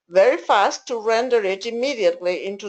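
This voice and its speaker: The speaker has an Argentine accent and a fairly slow pace. The background is quiet. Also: woman. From Argentina. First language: Spanish. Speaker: interpreter trainer. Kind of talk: online training session.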